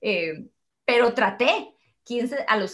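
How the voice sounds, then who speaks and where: Here a woman speaks in a Costa Rican accent. Her pitch is high. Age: 30s. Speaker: mother and workshop leader. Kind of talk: casual chat. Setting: video call.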